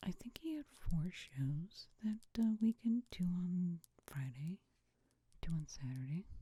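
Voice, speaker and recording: Soft-spoken, the speaker moves at a very slow pace. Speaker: ASMR creator. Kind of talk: ASMR ramble.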